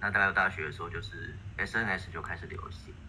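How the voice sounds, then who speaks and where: This man has a Taiwanese accent and a fairly quick pace. Light background noise sits behind him. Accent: Taiwanese Mandarin. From Taiwan, Taipei. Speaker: poet. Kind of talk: online panel discussion. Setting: voice chat call. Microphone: video call.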